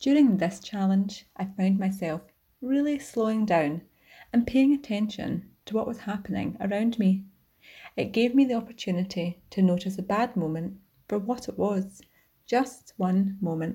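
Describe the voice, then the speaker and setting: A woman with a Scottish accent, medium pitch, ordinary pitch variation, a dark, mellow and somewhat breathy tone, and a moderate pace. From Scotland. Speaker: community member. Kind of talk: testimony.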